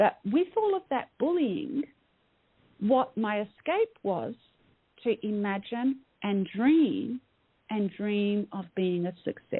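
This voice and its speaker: In an Australian accent, a woman with a fairly high pitch speaks at a very slow pace, her intonation lively and her pauses long and frequent. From Australia, Melbourne. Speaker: mindset coach. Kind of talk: interview. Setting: radio show. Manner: hesitant with many fillers.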